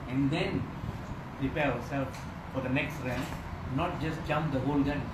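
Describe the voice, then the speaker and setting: A man talks over background noise that is loud. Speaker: spiritual teacher. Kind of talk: sermon. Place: home room. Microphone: phone near.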